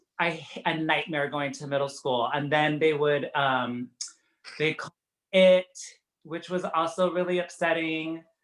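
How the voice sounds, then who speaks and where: A man with an American accent at a fairly high pitch, fairly even intonation and a fairly slow pace. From Tucson, Arizona. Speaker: costume designer. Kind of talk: casual chat. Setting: video call.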